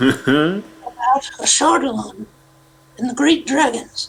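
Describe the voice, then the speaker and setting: A put-on character voice at a fairly high pitch, delivered at a fairly slow pace. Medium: actual play.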